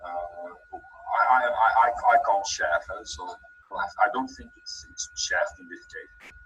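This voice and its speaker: A man is speaking. He has a Dutch accent. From Belgium. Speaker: trainer. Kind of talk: webinar. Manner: halting, many repeated words.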